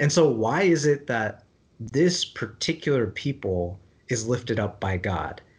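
A somewhat breathy voice with lively intonation moves at a fairly slow pace over a quiet background. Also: man. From India (Kerala, Malayali). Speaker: theology discussion co-host. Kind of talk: casual book discussion.

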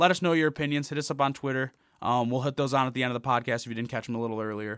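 On a very clean recording with a silent background, a man speaks at a very fast pace with a fairly high pitch and ordinary pitch variation. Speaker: college sports podcast host. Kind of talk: casual chat. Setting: studio.

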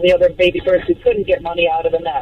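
A woman speaks at a medium pitch. There is noticeable noise in the background. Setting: phone call.

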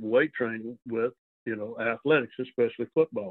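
This is a man with a Southern US accent. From US South, Arkansas. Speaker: retired strength and conditioning coach. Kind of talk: casual interview.

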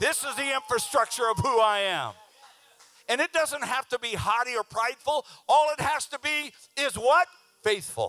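With a raised, projected voice of extremely high pitch, a man speaks at a moderate pace in a bright, sharp tone, ordinary pitch variation and long, frequent pauses. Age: 60s. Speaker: preacher. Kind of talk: sermon. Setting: church with congregation. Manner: animated.

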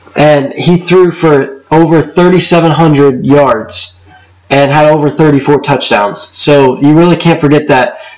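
Noticeable background noise sits behind a man with a fairly high pitch. He speaks at a very slow pace with fairly even intonation. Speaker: sports podcast host. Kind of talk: casual sports talk podcast.

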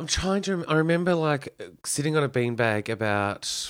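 In an Australian accent, a man speaks with lively intonation on a very clean recording with a silent background. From Victoria, Australia (Kyneton). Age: 30s. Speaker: cabaret performer. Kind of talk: casual chat. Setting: his home.

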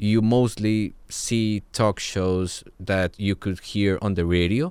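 In a Spanish accent, a man speaks with a very deep, low pitch and fairly even intonation. The recording is very clean, with a silent background. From Colombia. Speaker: podcast producer. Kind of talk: interview.

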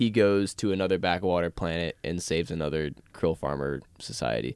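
A man's very deep, low voice with vocal fry and lively intonation, dry and close with no echo, on a very clean recording with a silent background. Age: 20s. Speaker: podcast host. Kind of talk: casual chat.

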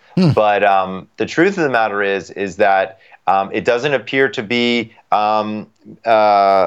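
A man speaks in an ordinary speaking voice. His pitch is fairly low, with ordinary pitch variation. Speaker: sleep doctor. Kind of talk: interview.

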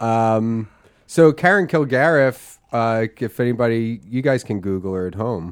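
A man with a normal speaking voice talks at a moderate pace and medium pitch, with lively intonation, against a quiet background. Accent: American. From Philadelphia. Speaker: podcast co-host and comedian. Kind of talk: casual comedic chat.

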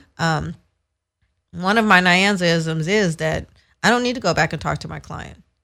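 A woman speaks at a moderate pace with long, frequent pauses, her fairly low voice showing ordinary pitch variation in a very clean recording with a silent background. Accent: Californian. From San Francisco, US West Coast. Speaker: entertainment lawyer. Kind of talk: casual interview.

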